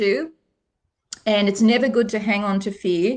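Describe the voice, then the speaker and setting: Speaking in an Australian accent, a woman has a fairly high voice. She keeps a moderate pace and fairly even intonation. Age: 60s. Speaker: psychic reader. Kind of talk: live stream card reading. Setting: live video stream. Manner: warm, conversational.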